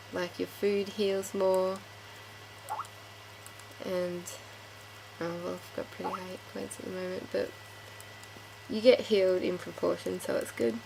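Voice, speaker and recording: Noticeable background noise surrounds a woman whose speech has long, frequent pauses. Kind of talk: casual game tutorial talk.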